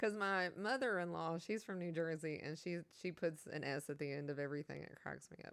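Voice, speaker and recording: In a Southern US accent, a woman with a fairly low pitch and ordinary pitch variation speaks at a fairly quick pace with hardly any pauses. Her tone is animated, and her loudness swings widely. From Kentucky. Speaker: video game streamer. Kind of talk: casual chat. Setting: live stream.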